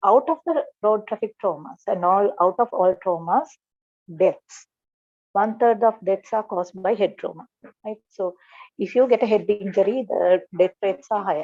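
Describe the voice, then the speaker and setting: At a moderate pace, a woman talks in a normal speaking voice at medium pitch. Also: ordinary pitch variation. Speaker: doctor lecturer. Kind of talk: lecture.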